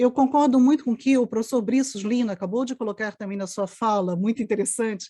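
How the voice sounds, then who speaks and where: A woman speaks very fast with a fairly high pitch, ordinary pitch variation, and a dark, mellow, somewhat breathy tone. The sound is dry and close, with no echo. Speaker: anthropologist. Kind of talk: panel discussion.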